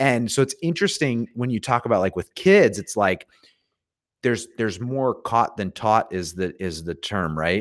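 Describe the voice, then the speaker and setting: With lively intonation, a man speaks in a normal speaking voice at a medium pitch and moderate pace, the sound dry and close with no echo. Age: 30s. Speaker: podcaster and recruiter, homeschooling father. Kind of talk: casual chat.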